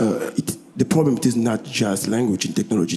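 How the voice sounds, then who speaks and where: A man's medium-pitched voice amid noticeable background noise. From DR Congo. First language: French. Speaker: musician. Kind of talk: panel discussion. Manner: halting.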